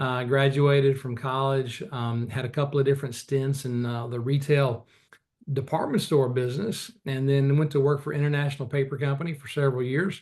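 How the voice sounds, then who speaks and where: A man speaks fairly quickly in a fairly high pitch. His voice is somewhat breathy, with fairly even intonation. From rural Arkansas. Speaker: investment executive. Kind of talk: interview.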